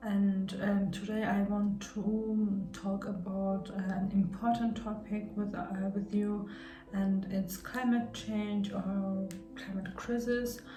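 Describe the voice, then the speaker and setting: A woman with a non-native accent at medium pitch, very slow and monotone, flat in intonation, over noticeable background noise. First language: not English. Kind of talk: casual talk to camera. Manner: hesitant, many fillers and repetitions.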